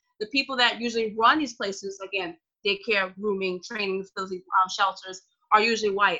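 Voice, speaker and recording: A woman's normal speaking voice at medium pitch, fairly quick in pace, with fairly even intonation. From New Orleans, US South. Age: 20s. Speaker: dog trainer guest. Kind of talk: casual interview.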